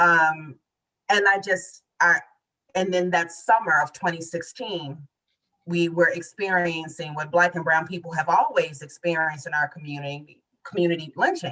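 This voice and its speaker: Here is a woman with an ordinary speaking voice and a fairly low pitch. She moves at a moderate pace with ordinary pitch variation. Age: 40s. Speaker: poet and author. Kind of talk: interview conversation.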